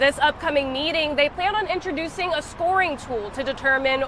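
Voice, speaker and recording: A woman with a high pitch and ordinary pitch variation talks at a moderate pace while noticeable background noise carries on. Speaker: broadcast news reporter / multimedia journalist. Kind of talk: news standups, reporter stand-up style. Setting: outdoors, on-location standups.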